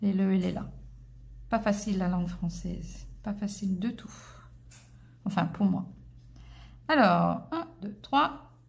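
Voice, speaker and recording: A very slow delivery with a slight English accent, long and frequent pauses, big swings in loudness, and audible room echo. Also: woman. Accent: slight English-speaker accent in French. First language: English (speaking French). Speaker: crochet teacher. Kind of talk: tutorial. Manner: hesitant, many filler sounds.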